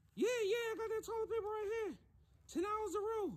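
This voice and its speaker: A cartoonish character voice at an extremely high pitch and a fairly quick pace. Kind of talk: comedy sketch. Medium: puppet. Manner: streetwise slang, hustling.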